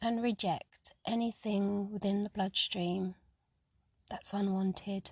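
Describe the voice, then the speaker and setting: Her medium-pitched voice is somewhat breathy, calm and soothing, held in a flat monotone at a very slow pace. The woman's sound is dry and close with no echo. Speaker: guided running and mindfulness leader, psychotherapist. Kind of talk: guided meditation audio for running. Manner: calm, soothing, slow.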